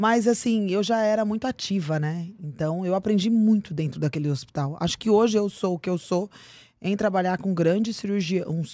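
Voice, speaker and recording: Dark and mellow in tone, a woman speaks at a moderate pace with ordinary pitch variation in a very clean recording with a silent background. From Brazil, São Paulo and Cuiabá, Mato Grosso. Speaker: aesthetician and beauty professional. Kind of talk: casual interview chat. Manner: animated.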